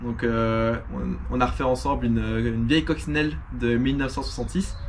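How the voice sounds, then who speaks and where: The recording has audible room echo and noticeable background noise. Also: man. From Belgium. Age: 20s. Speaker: car restoration youtuber. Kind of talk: casual vlog talk to camera. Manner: hesitant, many fillers.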